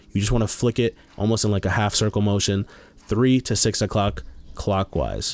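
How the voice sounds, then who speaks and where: A man's fairly low voice, animated in tone, with ordinary pitch variation. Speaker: gaming YouTuber. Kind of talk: tutorial. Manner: fast; casual, animated.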